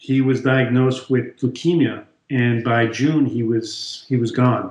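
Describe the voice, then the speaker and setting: In a monotone, flat delivery, a man speaks at a fairly slow pace with a medium pitch, a somewhat breathy sound and very even loudness. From France. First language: French. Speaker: chiropractor. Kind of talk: interview.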